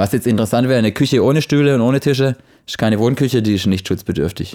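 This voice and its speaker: A very fast delivery in a dark, mellow tone, with ordinary pitch variation on a very clean recording over a silent background. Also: man. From Baden-Württemberg, Offenburg. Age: 30s. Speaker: noise control consultant. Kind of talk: casual chat.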